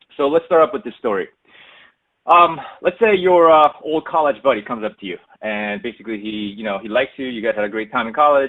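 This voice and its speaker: A man speaks with a normal speaking voice. His intonation is lively, and his pace is fairly quick. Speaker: analytics executive presenting a webinar. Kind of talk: webinar presentation. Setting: online webinar. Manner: casual, many filler words.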